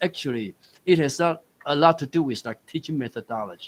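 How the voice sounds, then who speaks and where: A man speaks at a moderate pace with a Taiwanese accent. The sound is dry and close, with no echo. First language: Taiwanese Hokkien. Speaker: university dean, forum moderator. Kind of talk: panel discussion moderation.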